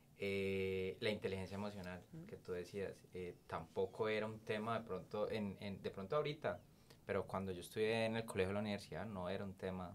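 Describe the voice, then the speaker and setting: Amid light background noise, a man with a fairly low pitch speaks at a fairly quick pace and with fairly even intonation. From Colombia, Cali. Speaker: podcast host. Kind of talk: interview conversation. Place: meeting room. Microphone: studio mic.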